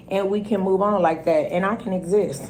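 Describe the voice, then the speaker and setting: A woman's dark, mellow, medium-pitched voice at a moderate pace, fairly even in intonation, with audible room echo. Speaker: YouTuber telling her own story. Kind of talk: storytime vlog. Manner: loud.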